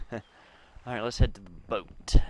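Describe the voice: A man talks at a fairly slow pace in a medium pitch, with little pitch movement and a slightly mellow tone.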